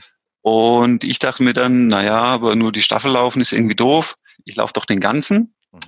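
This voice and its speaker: A man talks at a moderate pace in a normal speaking voice at medium pitch. The sound is dry and close, with no echo. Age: 30s. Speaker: amateur triathlete. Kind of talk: interview. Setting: remote call. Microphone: headset, choppy connection.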